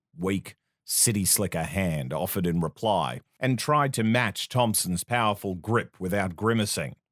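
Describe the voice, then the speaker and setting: A man at a fairly low pitch with an Australian accent, at a fairly slow pace with lively intonation, on a very clean recording with a silent background and a dry, close sound with no echo. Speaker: voice actor. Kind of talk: fiction narration with character dialogue.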